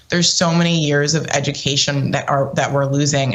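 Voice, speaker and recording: A woman's very deep, low voice with fairly even intonation, amid noticeable background noise and audible room echo. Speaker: political commentator. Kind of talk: panel discussion.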